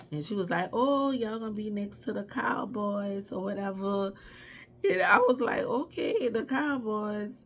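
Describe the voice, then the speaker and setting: With a New Orleans accent and an animated tone, a woman speaks at a medium pitch. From New Orleans, Louisiana. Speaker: YouTuber. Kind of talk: personal storytelling.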